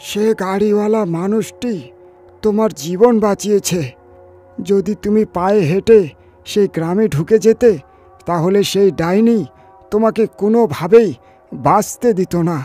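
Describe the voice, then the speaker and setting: A man's put-on character voice, high in pitch and fairly slow, with faint music in the background. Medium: read story. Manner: grave, explanatory.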